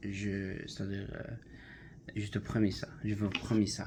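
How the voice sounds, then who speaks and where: At a very slow pace, the speech comes out somewhat breathy. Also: man. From Algeria. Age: 20s. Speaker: language student, factory worker. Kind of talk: class self-introduction presentation. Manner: halting, many hesitations.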